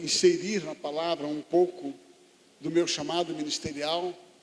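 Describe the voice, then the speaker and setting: A man with a high pitch talks in fairly even intonation amid noticeable background noise. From Rio de Janeiro, Brazil. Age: 60s. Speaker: pastor. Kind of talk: sermon. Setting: church conference with audience.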